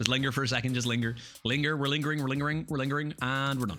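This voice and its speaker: With music in the background, a medium-pitched man talks at a very fast pace in a playful tone. His loudness stays very even and his intonation fairly even. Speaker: gaming commentator and amateur voice actor. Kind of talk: casual let's play commentary. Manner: playful, comedic.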